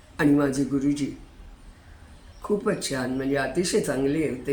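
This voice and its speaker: Very deep, low pitch from a woman, with typical rise and fall. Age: 80s+. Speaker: retired hobbyist YouTuber. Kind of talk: casual talk to camera.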